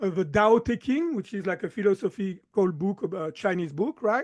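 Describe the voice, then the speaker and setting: Recorded dry and close with no echo against a quiet background, a man with a slight French accent speaks at a high pitch with ordinary pitch variation. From southern France. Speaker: chiropractor and mind-body coach. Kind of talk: podcast interview.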